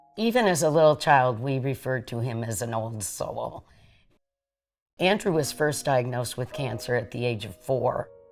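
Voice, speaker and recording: Over music in the background, a woman with a very deep, low pitch talks at a moderate pace with lively intonation. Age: 60s. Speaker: bereaved mother and advocate. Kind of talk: testimony.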